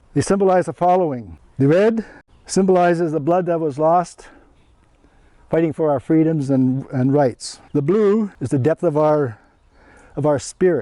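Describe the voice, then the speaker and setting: In a Canadian accent, a man speaks at a moderate pace with a fairly high pitch and ordinary pitch variation. His tone is dark and mellow, broken by long, frequent pauses. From Northwest Territories, Canada. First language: Cree. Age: old. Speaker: Métis elder. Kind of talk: classroom talk to students. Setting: elementary school classroom. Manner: halting.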